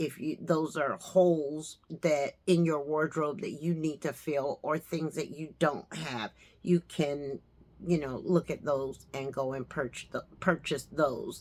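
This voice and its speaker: A woman speaks at a very slow pace in a very deep, low pitch. Her intonation stays fairly even. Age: 60s. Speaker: fashion and lifestyle vlogger. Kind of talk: casual styling tutorial. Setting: at home next to her closet. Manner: chatty, conversational.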